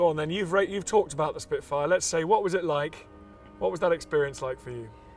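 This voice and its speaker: Over music in the background, a man with a fairly high pitch talks at a very fast pace, his loudness swinging widely. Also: ordinary pitch variation. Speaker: presenter. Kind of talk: documentary presenting and interview questions.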